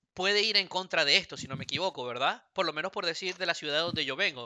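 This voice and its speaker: A man talks with lively intonation in a Venezuelan accent. His pitch is high. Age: 30s. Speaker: podcast co-host. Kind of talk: casual chat.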